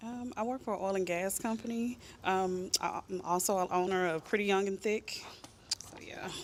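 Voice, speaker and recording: An ordinary speaking voice from a woman at medium pitch, fairly even in intonation, at a moderate pace. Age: 30s. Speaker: dating show contestant. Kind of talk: casual interview.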